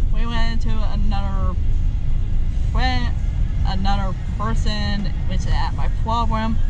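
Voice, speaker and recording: Over loud background noise, a woman talks at a very slow pace, the sound dry with no echo. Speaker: vlogger. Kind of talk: casual vlog chat. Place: car. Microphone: phone near.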